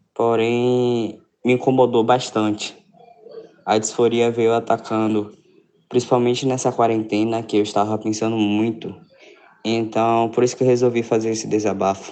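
At a moderate pace, the voice holds a flat, monotone intonation broken by long, frequent pauses. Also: man, medium pitch for a man. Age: young. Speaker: listener sending voice message. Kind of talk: recorded voice message.

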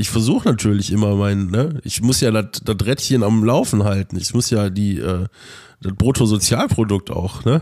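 Over a silent background in a very clean recording, a man with a dark, mellow tone speaks at a moderate pace with ordinary pitch variation. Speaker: podcast co-host. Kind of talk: casual chat. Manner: animated.

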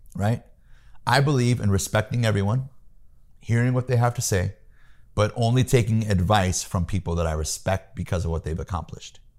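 A man with an American accent has an ordinary speaking voice, fairly low in pitch, at a fairly quick pace. The recording is very clean, with a silent background. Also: ordinary pitch variation. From US Midwest, Peoria, Illinois. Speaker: sales trainer. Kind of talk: interview, coaching advice. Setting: home office.

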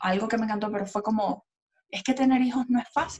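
A woman with fairly high pitch, ordinary pitch variation and an ordinary speaking voice. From Venezuela, Maracaibo. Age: 30s. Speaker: podcast co-host. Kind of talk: casual chat.

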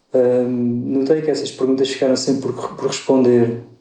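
Medium pitch from a man, monotone and flat in intonation, with audible room echo. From Portugal, Alentejo (Évora). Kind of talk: podcast interview. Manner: hesitant, many fillers.

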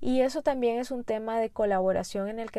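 A woman speaks in a plain, everyday voice. Her pitch is fairly high and her pace moderate. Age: 30s. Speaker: podcast host. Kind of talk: solo podcast monologue.

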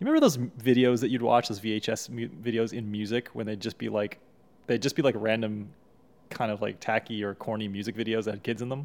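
At a very fast pace, a man talks at a medium pitch with fairly even intonation on a very clean recording with a silent background. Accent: American. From Texas, US. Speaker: YouTuber and podcast co-host. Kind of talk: casual chat.

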